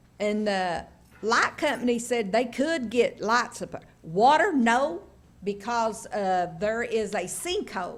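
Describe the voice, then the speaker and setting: Speaking in an East Tennessee accent, a woman with a fairly high voice goes at a very slow pace with lively intonation. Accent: Southern US (East Tennessee). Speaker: local resident speaking at public hearing. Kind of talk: public hearing testimony. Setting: county commission meeting at podium.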